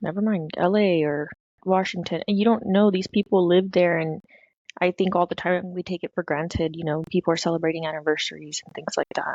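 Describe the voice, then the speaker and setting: A woman with a normal speaking voice talks at a fairly quick pace in a fairly low pitch, her intonation fairly even but her loudness swinging widely, in a dry, close recording with no echo. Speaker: podcast co-host. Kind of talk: casual chat.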